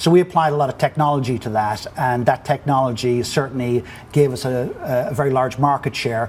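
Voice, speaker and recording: This voice has an Irish accent and moves at a fairly quick pace. Its pitch variation is ordinary. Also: man, medium pitch for a man. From Ireland. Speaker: business executive. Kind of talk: interview. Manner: halting.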